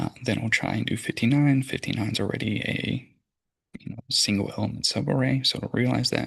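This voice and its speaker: Talking at a fairly quick pace, a man speaks with vocal fry. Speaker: computer science student. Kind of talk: tutorial. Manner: casual with fillers.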